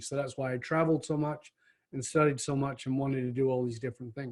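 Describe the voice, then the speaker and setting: A man with an American accent talks at a very fast pace in a fairly high pitch, sounding somewhat breathy. His intonation is monotone and flat, and the recording is very clean with a silent background. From northern England. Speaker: leadership speaker and author. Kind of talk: podcast interview.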